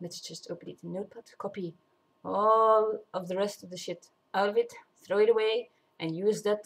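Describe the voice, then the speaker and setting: The speaker is a woman with a non-native accent. Her pitch is medium. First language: not English. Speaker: vlogger. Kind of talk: casual monologue. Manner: halting, many fillers and restarts.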